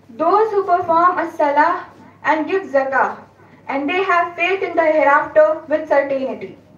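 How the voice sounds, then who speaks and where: Against noticeable background noise, a woman talks at an extremely high pitch with ordinary pitch variation. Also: moderate pace. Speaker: student. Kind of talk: reading aloud. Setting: stage with audience.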